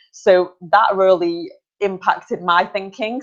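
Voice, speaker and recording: This woman has a medium-pitched voice and speaks in a Potteries accent. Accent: Stoke-on-Trent (Potteries) English. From England, Stoke-on-Trent. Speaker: online talk show host. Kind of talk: casual chat. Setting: video call.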